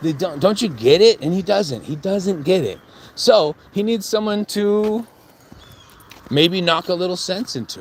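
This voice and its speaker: Speech at a fairly slow pace with ordinary pitch variation, over noticeable background noise. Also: man, high pitch for a man. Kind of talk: casual talk to camera, trash-talk promo. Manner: confrontational, rambling.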